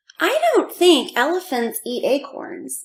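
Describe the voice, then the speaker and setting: A squeaky, put-on character voice from a woman at an extremely high pitch and fairly slow pace. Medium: read story. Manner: crowing.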